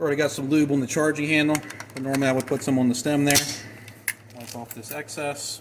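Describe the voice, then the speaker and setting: Noticeable background noise surrounds a man talking very fast in a fairly high, flat monotone. His loudness swings widely, and he takes long, frequent pauses. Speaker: gunsmith and firearms channel host. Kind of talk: tutorial.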